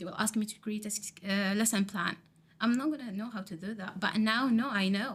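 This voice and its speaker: A woman with an Arabic accent speaks at a moderate pace in a fairly high, somewhat breathy voice with fairly even intonation. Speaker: teacher training student. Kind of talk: podcast interview. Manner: halting.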